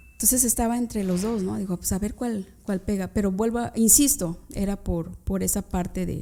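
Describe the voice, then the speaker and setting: Speaking at a moderate pace, a woman uses a medium pitch and a dark, mellow tone with ordinary pitch variation. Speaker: criminal lawyer, former public prosecutor. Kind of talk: interview.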